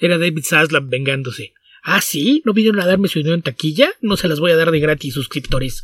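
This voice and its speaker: This man has a normal speaking voice, fairly high in pitch with ordinary pitch variation. He moves at a fairly quick pace, and the sound is dry and close with no echo. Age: 40s. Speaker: comics podcast co-host and translator. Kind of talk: casual chat.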